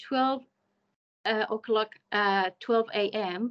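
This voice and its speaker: A woman with an Iranian accent speaks in a bright, sharp tone with ordinary pitch variation. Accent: Iranian (Persian). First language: Persian. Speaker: community worker and conference speaker; conference speaker. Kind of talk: conference talk. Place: home room. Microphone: video call.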